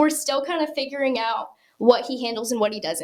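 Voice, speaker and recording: Music plays in the background as a woman speaks in an American accent. Her pace is fairly quick, with ordinary pitch variation. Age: young. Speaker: country music singer. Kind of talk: podcast interview answer. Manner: casual, conversational.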